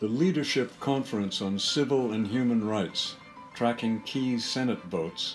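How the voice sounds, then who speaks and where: Over music in the background, a man with an American accent speaks at a fairly slow pace, his medium pitch showing ordinary variation. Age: 80s+. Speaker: artist, painter. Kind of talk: political commentary narration.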